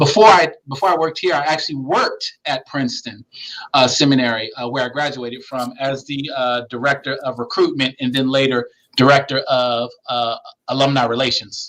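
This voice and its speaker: A man's normal speaking voice, fairly high in pitch with ordinary pitch variation, with an American accent and a fairly quick pace. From Philadelphia, US. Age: 40s. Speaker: pastor and seminary administrator. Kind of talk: interview.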